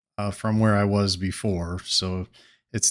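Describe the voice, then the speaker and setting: A soft-spoken man talks with a fairly low pitch and monotone, flat intonation. The recording is very clean, with a silent background. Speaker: gaming video creator. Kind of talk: casual gameplay commentary. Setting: home studio. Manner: soft-spoken, talking low.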